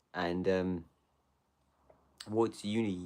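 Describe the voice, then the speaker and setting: A man speaks at a very deep, low pitch with monotone, flat intonation. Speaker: livestreamer chatting with viewers. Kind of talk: casual livestream chat.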